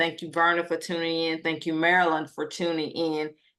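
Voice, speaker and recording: A woman's fairly low voice in a Southern US accent. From US South, Atlanta, Georgia. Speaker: co-founder and co-host. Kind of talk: live stream chat. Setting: live stream.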